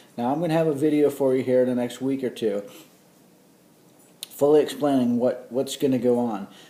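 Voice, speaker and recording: Pausing long and often, a man with a dark, mellow tone speaks at a fairly quick pace with fairly even intonation. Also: medium pitch for a man. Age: 50s. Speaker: college professor. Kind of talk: lecture. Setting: recorded course video. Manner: casual, conversational.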